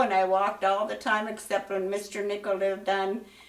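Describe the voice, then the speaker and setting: Audible room echo surrounds a woman with an American accent. She talks at a fairly quick pace with a medium pitch. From western Pennsylvania. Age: 90s. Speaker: school alumna. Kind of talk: interview. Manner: halting.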